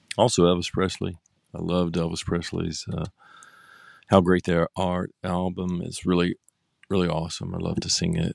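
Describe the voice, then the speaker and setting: In a dry, close sound with no echo and a silent background on a very clean recording, a man with a very deep, low pitch talks at a moderate pace in a flat monotone, leaving long, frequent pauses. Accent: American. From Oklahoma. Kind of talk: casual solo monologue, introduction. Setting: outdoors, pulled over by the roadside in a car. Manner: informal, somewhat halting with fillers.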